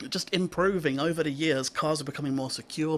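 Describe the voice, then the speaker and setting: On a very clean recording with a silent background, a man in a normal speaking voice talks at a moderate pace and a fairly high pitch with ordinary pitch variation. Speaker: radio show presenter. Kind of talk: radio show presenter talking to listeners. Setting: radio studio.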